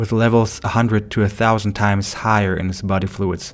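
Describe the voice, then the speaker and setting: Speaking at a fairly quick pace, a man with a non-native accent uses a fairly low pitch and fairly even intonation. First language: not English. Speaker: medical doctor and narrator. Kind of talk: scripted narration; casual outro.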